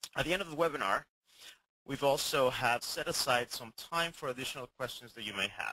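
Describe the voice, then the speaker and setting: In a dry, close sound with no echo, a man with a medium pitch and a bright, sharp tone talks at a fairly quick pace, with vocal fry, ordinary pitch variation, big swings in loudness, and long, frequent pauses. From Venezuela, Caracas. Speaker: corporate learning manager, webinar presenter. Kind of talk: webinar presentation.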